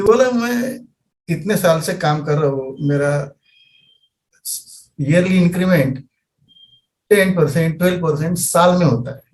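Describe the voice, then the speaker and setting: A high-pitched man, with lively intonation and long, frequent pauses. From Maharashtra, India. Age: 50s. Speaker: trader, mechanical engineer. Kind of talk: interview. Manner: halting.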